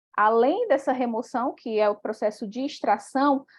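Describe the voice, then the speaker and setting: With lively intonation, a woman talks at a fairly slow pace and a high pitch. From Brazil, Piauí. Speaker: doctoral student, paper presenter. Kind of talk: academic presentation. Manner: hesitant, many fillers.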